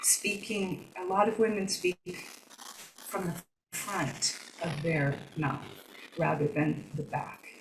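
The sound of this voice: A woman speaks slowly at a fairly low pitch, with ordinary pitch variation. Room echo is audible.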